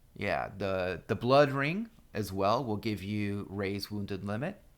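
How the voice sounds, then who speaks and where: A fairly low-pitched man's voice with ordinary pitch variation, at a very slow pace. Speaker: gaming guide youtuber. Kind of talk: tutorial.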